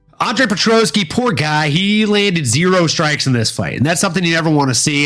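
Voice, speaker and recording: With an American accent and a high pitch, a man speaks at a fairly quick pace with lively intonation amid noticeable background noise. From US South, Louisiana. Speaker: podcast host. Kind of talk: casual chat. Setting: live stream.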